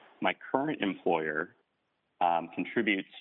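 With a normal speaking voice, a man talks at a fairly low pitch with ordinary pitch variation. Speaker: caller. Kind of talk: casual chat. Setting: phone call.

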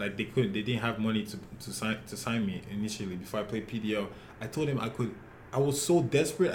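Speech comes at a fairly quick pace. The voice is somewhat breathy. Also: man. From Nigeria, Lagos. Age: 20s. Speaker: professional soccer player. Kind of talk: interview.

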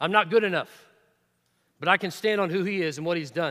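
A man projects a raised, high voice with a bright, sharp tone and ordinary pitch variation. He moves at a fairly quick pace on a very clean recording with a silent background. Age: 40s. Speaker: preacher. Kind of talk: sermon.

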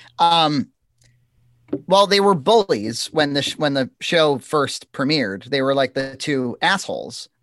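In a very clean recording with a silent background and a dry, close sound free of echo, a man with an American accent and an unremarkable speaking voice talks at a fairly high pitch with lively intonation. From Massachusetts. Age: 30s. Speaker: web series creator. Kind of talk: casual chat.

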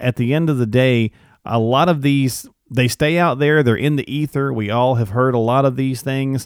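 A man talks in an ordinary speaking voice at a medium pitch. His intonation is fairly even and his pace moderate. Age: 40s. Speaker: podcast host. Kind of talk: casual interview chat.

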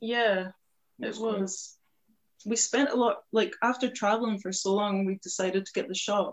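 At a moderate pace, a woman speaks in a normal speaking voice, fairly high in pitch, with fairly even intonation. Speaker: tattooist.

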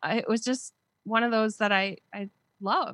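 This woman has a bright, sharp tone, a fairly high pitch and an American accent. She talks at a moderate pace, and the sound is dry and close with no echo. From Wisconsin, US. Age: 50s. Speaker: podcaster and blogger. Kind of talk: casual interview chat.

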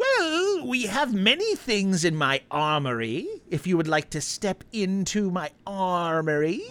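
A female-sounding voice of medium pitch delivers a put-on character voice at a fairly slow pace. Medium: actual play. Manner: overly sweet, fawning.

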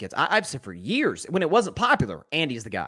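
In a very clean recording with a silent background, a man with a fairly high pitch and a bright, sharp tone shows vocal fry and very wide pitch swings at a moderate pace. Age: young. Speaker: sports podcast host. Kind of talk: live sports talk show. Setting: livestream.

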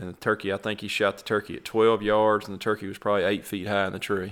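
Talking at a very fast pace, a man with a Mississippi accent keeps a fairly low pitch and flat, monotone intonation while his loudness swings widely. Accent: Southern US (Mississippi). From Mississippi, US South. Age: 30s. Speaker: turkey hunter. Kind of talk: casual chat.

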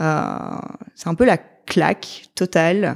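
A woman speaks in a plain, everyday voice. Her pitch sits fairly low and her intonation stays fairly even. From Belgium. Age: 30s. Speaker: mother sharing birth story. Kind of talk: testimony.

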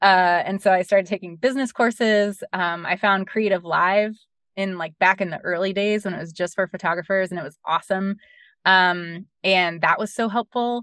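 With an American accent and a normal speaking voice, a woman talks at a moderate pace and medium pitch, her intonation fairly even, in a dry, close sound with no echo against a quiet background. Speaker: bereaved mother, charity founder. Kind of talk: interview. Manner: many fillers (um, like, you know).

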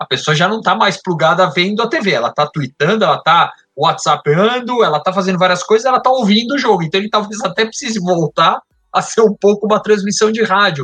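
Very fast and raised to project, a man's high voice has a bright, sharp tone and ordinary pitch variation. The sound is dry and close, with no echo. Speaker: sports marketing media executive. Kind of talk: casual chat.

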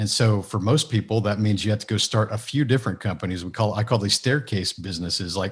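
This man talks at a fairly quick pace in a somewhat breathy, fairly low voice. The recording is very clean, with a silent background. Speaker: business mentor and author. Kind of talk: interview. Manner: down to earth.

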